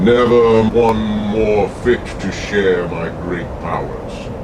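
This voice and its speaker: A put-on character voice from a man, fairly low in pitch, against loud background noise. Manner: menacing, theatrical.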